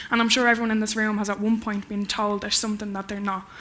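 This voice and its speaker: A woman with an Irish accent talks at a very fast pace. Her medium-pitched delivery is monotone and flat. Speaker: spoken word poet. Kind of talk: conference talk; poetry performance. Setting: stage with audience.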